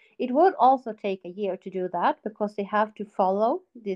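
A woman speaks at medium pitch with a Swedish accent. Her pace is fairly slow. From Sweden. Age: 40s. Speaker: guest, mother with ADHD.

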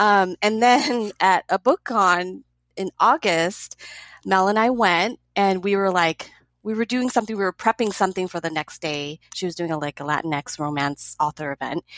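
A woman speaks at a moderate pace with a Californian accent. Her intonation is lively, and the background is quiet. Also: medium pitch for a woman, dry, close sound with no echo. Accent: Californian American. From Los Angeles. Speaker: educator and book event co-organizer. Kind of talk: casual chat.

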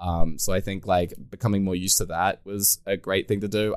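A man with an Australian accent uses lively intonation in a very clean recording with a silent background. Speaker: podcast host, Hearthstone streamer. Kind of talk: casual podcast interview.

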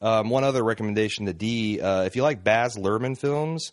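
A man with a normal speaking voice talks at a medium pitch and a moderate pace, with ordinary pitch variation. The recording is dry and close with no echo, over a quiet background. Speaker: podcast host. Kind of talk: casual banter podcast. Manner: joking, bantering, filler-heavy.

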